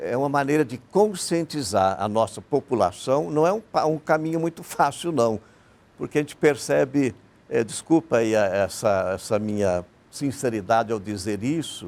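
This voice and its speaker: Here a man talks at a moderate pace. His medium pitch moves in very wide swings. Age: 60s. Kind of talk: TV panel interview.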